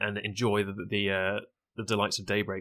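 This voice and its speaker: In a very clean recording with a silent background, a man speaks very fast in a bright, sharp tone. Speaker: Twitch streamer, event co-organizer. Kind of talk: casual podcast chat.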